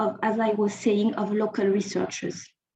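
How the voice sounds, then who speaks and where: A woman with a French accent. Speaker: think tank researcher. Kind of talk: conference presentation. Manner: halting, with frequent repetitions.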